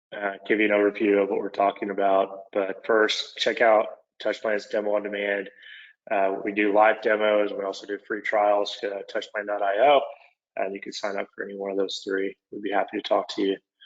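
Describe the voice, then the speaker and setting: A man with an Oklahoma accent speaks at a fairly quick pace. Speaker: construction software product manager. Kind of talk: webinar presentation. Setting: online webinar.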